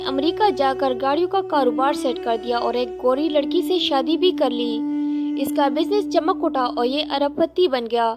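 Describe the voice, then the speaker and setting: With music in the background, a woman talks at a high pitch. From Pakistan. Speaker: voice over artist. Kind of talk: religious story narration.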